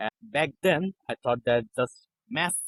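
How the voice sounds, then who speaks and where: A man speaks with a non-native accent. The sound is dry and close, with no echo. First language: not English. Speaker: copywriter. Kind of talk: interview. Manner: halting.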